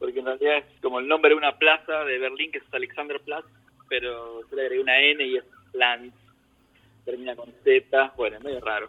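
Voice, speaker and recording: A man speaks fairly quickly in a monotone, flat intonation. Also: big swings in loudness. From Argentina, Buenos Aires province (San Martín). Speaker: emigrant gardener. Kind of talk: casual interview. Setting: remote call from home.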